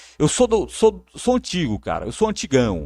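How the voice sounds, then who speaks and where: A man speaks at a moderate pace, with a dry, close sound free of echo on a very clean recording against a silent background. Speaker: sports narrator. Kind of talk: live stream chat. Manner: repetitive, halting.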